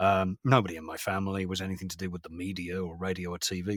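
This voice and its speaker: Very deep and low in pitch, a man speaks very fast in a British accent. The sound is dry and close, with no echo. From England, London. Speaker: voice actor, former radio broadcaster. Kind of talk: interview.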